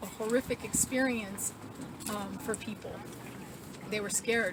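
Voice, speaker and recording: A fairly high female voice in a monotone, flat intonation at a moderate pace, over noticeable background noise. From New Mexico, Tularosa Basin. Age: 60s. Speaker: activist. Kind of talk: interview testimony.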